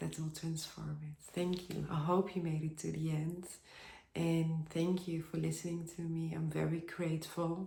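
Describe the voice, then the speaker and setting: Somewhat breathy and dark, mellow in tone, a woman with a non-native accent talks at a fairly slow pace. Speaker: spiritual vlogger. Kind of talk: personal video monologue. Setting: at home by a bath with candles. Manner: halting.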